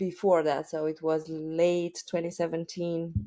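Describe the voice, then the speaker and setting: In a Romanian accent, a woman talks at a very slow pace, her voice fairly low with a dark, mellow tone. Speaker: e-commerce entrepreneur. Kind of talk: podcast interview. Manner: halting, many fillers.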